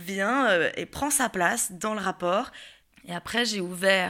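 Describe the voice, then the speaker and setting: Her tone is bright and sharp, a woman at medium pitch with ordinary pitch variation in a very clean recording with a silent background. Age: 20s. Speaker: actress sharing personal story. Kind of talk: personal testimony interview. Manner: hesitant, many fillers.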